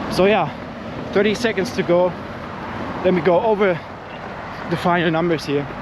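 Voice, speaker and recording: Over noticeable background noise and audible room echo, a man with a high pitch talks at a moderate pace in very even loudness, leaving long, frequent pauses. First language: not English. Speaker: running vlogger. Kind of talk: vlog monologue while running. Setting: outdoors, running. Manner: animated.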